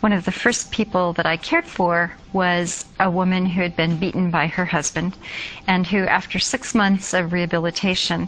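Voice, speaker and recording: A woman with an American accent speaks at a moderate pace. Hers is an unremarkable speaking voice with a fairly low pitch. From United States. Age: 50s. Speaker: nursing professor. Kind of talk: interview.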